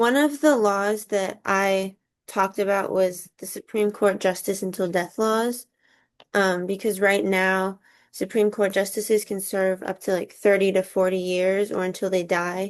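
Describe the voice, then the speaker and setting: A woman speaks with a Californian accent at a medium pitch. The background is quiet. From Southern California. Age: 20s. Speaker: college student. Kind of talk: class assignment discussion.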